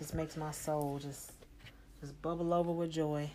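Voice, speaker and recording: This woman's pitch is very deep and low, and her pace is moderate. Noticeable noise sits behind her voice. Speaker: solo podcaster and singer. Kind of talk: casual solo monologue. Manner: low-energy, relaxed; halting with many fillers.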